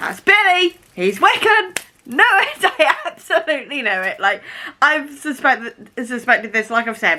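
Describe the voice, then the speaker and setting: Speaking fairly slowly in a British accent, a woman raises and projects her high-pitched voice, her pitch swinging very widely. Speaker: booktube vlogger. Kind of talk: casual vlog chat. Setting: at home. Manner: animated.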